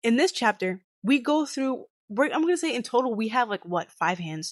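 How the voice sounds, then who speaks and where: A woman's animated voice at a fairly quick pace, with very wide pitch swings, dry and close with no echo, over a quiet background. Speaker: gaming commentary youtuber. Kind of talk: casual commentary rant. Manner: fast.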